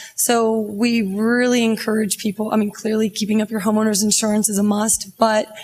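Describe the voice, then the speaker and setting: A woman's fairly high voice at a moderate pace, monotone and flat in intonation, over noticeable background noise. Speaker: bank loan officer. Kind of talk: panel discussion. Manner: loud.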